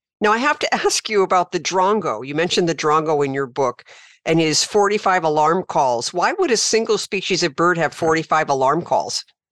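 A woman with an ordinary speaking voice, fairly low in pitch, talks at a moderate pace with lively intonation. The sound is dry and close with no echo, over a quiet background. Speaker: podcast host and wildlife rehabilitator. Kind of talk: interview.

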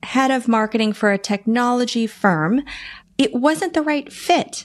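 Speaking with an American accent, a woman uses lively intonation at a fairly high pitch. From US East Coast (Boston, DC metro area). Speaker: business strategist and marketing consultant. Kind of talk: interview conversation.

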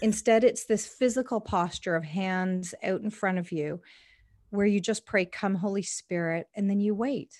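A woman with a Canadian accent speaks in an unremarkable speaking voice at a medium pitch and moderate pace. Her pitch varies in an ordinary way, and the recording is very clean with a silent background. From Canada, Indian immigrant family. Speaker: evangelism ministry worker. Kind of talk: interview conversation.

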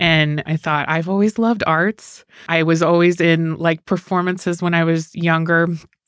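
A woman with an American accent speaks at a moderate pace in a monotone, flat intonation and very even loudness, on a very clean recording with a silent background and a dry, close sound with no echo. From Sparks, Nevada. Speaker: county commissioner. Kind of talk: casual interview.

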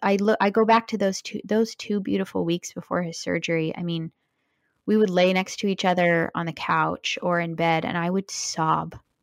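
Here is a woman with an unremarkable speaking voice at medium pitch and a moderate pace. The sound is dry and close with no echo, on a very clean recording with a silent background. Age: 30s. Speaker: widow sharing her husband's cancer story. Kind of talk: interview testimony.

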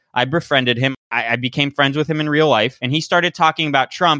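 This man has a normal speaking voice, fairly high in pitch, and talks at a fairly quick pace. The recording is very clean with a silent background and a dry, close sound with no echo. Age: 30s. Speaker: podcast host, guest. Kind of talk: casual interview.

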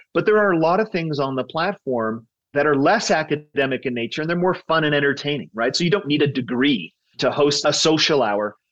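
Using a plain, everyday voice, a fairly high-pitched man speaks at a fairly quick pace with lively intonation. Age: 50s. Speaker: tech startup co-founder. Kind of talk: interview.

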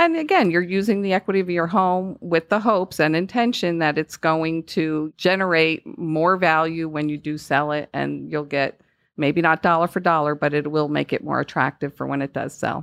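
A woman with a Northeastern US accent talks at a moderate pace with hardly any pauses, her pitch fairly low and its variation ordinary. The sound is dry and close with no echo, over a quiet background. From US Northeast. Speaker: home loan specialist. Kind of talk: casual interview.

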